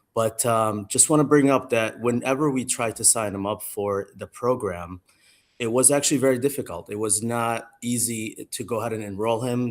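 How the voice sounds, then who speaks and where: A man with an Arabic accent talks at a moderate pace and medium pitch, keeping his intonation fairly even. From Jordan. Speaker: parent giving public comment. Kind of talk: public comment at school council meeting.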